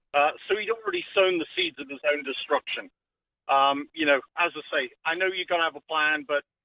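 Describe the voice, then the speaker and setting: A high-pitched man with a British accent and ordinary pitch variation. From UK. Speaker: caller. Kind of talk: casual chat. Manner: hesitant, many fillers.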